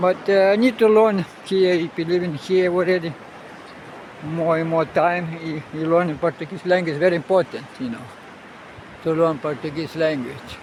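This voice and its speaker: Against noticeable background noise, a man with a high pitch speaks at a moderate pace. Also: ordinary pitch variation. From Russia. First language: Russian. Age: 70s. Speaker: sailor and travel vlogger. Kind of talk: casual vlog monologue. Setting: outdoors on a beach. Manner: halting, many fillers.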